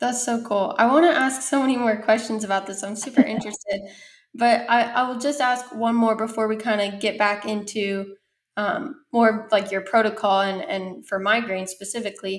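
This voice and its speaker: With a normal speaking voice, a woman talks at a moderate pace, her fairly high pitch showing ordinary variation. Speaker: podcast host. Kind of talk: casual interview.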